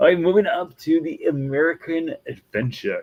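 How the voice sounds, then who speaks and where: At a moderate pace, a man talks with a Wisconsin accent. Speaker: Disney vlogger. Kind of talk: casual video commentary.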